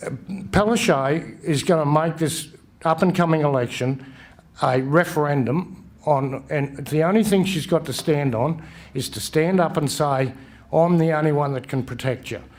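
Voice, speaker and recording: The speech has a strong Australian accent and ordinary pitch variation. It moves at a moderate pace. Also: man, fairly high pitch for a man. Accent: broad Australian. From western Queensland, Australia. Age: 60s. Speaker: election candidate. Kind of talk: campaign speech at candidates forum. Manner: halting, with false starts.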